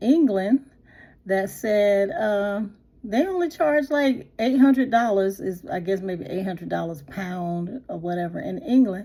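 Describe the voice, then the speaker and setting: Speaking at a fairly slow pace, a woman uses a medium pitch and lively intonation with a dark, mellow tone. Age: 60s. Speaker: lifestyle vlogger. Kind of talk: casual talk to camera. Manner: casual, hesitant, lots of fillers.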